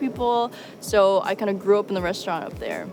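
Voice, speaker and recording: A woman speaks with a New York accent. Background noise is noticeable. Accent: American (New York). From upstate New York, US. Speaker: journalist. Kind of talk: personal interview monologue. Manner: casual, filler-heavy.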